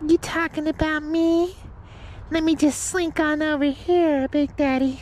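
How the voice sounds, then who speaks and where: A put-on character voice talks at a high pitch and a moderate pace, monotone and flat. Clear background noise can be heard. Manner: smooth, cocky, slinking.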